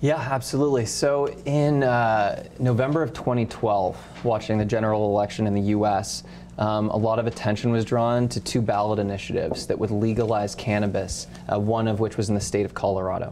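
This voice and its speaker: A man's fairly low voice at a fairly quick pace, with very even loudness and noticeable background noise. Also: fairly even intonation. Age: 30s. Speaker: cannabis company executive. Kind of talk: interview.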